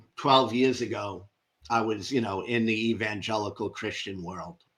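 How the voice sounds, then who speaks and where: At a fairly slow pace, a man with a New York accent speaks in a very clean recording with a silent background. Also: big swings in loudness. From New York (Brooklyn). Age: 60s. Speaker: ex-religious content creator. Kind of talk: interview testimony.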